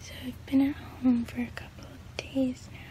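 A woman whispers in a weary tone. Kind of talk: casual vlog chat. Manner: low, weary post-surgery voice. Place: home room. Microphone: phone near.

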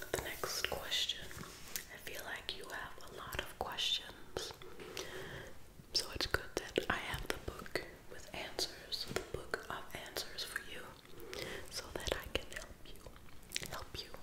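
A woman whispers very slowly, with long pauses coming often. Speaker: ASMR creator. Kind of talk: ASMR whispered reading. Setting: close-up microphone, studio. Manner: whispered, soft, slow. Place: home room. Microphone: phone near.

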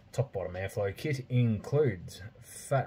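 A somewhat breathy, dark, mellow tone at a very slow pace over light background noise. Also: man. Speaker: product reviewer. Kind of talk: casual review vlog. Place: home room. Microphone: phone near.

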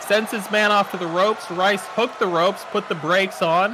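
A man's high, raised and projected voice over noticeable background noise. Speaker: wrestling commentator. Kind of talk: live wrestling commentary. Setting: in the commentary booth.

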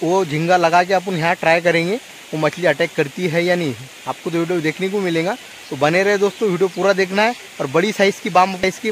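Speaking at a moderate pace, a man with a high pitch and fairly even intonation comes through a dry recording with no echo and light background noise. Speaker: fishing vlogger. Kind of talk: casual vlog chat. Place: waterside. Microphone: phone near.

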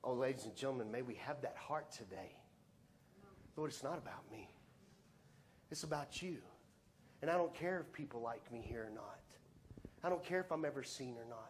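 With long, frequent pauses, a man talks at a fairly quick pace in a fairly high pitch, his pitch varying in an ordinary way over light background noise. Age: 50s. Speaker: pastor. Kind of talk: Sunday sermon, conversational preaching with call-and-response. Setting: church service with congregation. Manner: earnest, plain-spoken, building to emphatic appeals; informal, with repeated 'let's be honest' asides. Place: church. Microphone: lapel.

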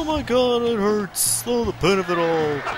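A put-on character voice at middle pitch and moderate pace, with clear background noise. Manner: mocking, exaggerated pain.

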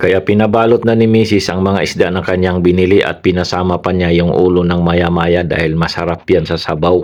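Delivered at a fairly quick pace with hardly any pauses, the speech has a monotone, flat intonation. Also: man, very deep, low pitch for a man. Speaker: vlogger, overseas Filipino worker. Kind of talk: vlog narration. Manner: stumbling over words.

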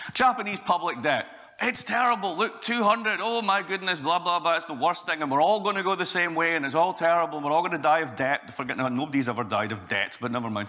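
A man talks at a very fast pace with hardly any pauses. His pitch swings very widely. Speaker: conference speaker. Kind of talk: lecture. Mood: sarcastic, humorous. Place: hall.

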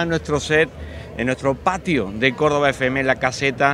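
A man talks at a moderate pace with ordinary pitch variation. The sound is dry with no echo, and music plays in the background. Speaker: radio host. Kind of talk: broadcast presenter intro. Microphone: handheld.

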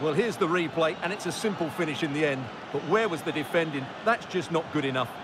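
Over noticeable background noise, a man with a fairly high pitch speaks at a very fast pace in an enthusiastic tone, with ordinary pitch variation. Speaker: football co-commentator, analyst. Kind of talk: sports co-commentary, analysis of replays. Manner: measured, analytical, warmly enthusiastic on replays.

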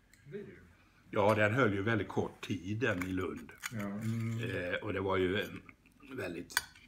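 Over noticeable background noise, a man speaks at a fairly slow pace with fairly even intonation and a fairly low pitch. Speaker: psychologist and teacher. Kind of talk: interview answer. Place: home room. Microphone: phone near.

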